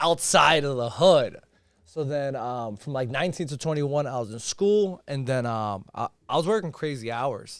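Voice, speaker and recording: A fairly high-pitched man with an American accent, lively intonation and a moderate pace, on a very clean recording with a silent background. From Chelsea, Massachusetts (Boston area). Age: 20s. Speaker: entrepreneur in sales and investing. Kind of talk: casual podcast interview.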